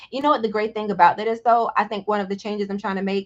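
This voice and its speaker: A woman speaks in a medium pitch with fairly even intonation. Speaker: business founder. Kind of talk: interview.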